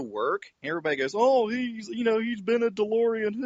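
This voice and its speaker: This man's voice is high in pitch, with a slight Southern US accent. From West Virginia. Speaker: car enthusiast, online group founder. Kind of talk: podcast interview.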